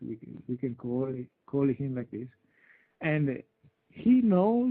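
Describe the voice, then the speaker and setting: A man with an Italian accent speaks at a fairly high pitch and a moderate pace. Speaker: UFO researcher. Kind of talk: interview. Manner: halting. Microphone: intermittent connection, poor sound.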